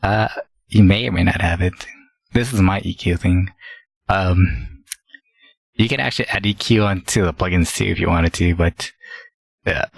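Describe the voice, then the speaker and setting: A man's very deep, low voice with vocal fry, ordinary pitch variation and a moderate pace broken by long, frequent pauses, in a dry, close sound with no echo. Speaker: gaming streamer. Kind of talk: tutorial. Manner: halting.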